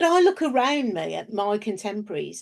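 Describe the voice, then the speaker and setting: Over a quiet background, a woman speaks at a moderate pace. Her fairly high pitch swings very widely. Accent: English. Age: 60s. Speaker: business founder and researcher. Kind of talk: interview.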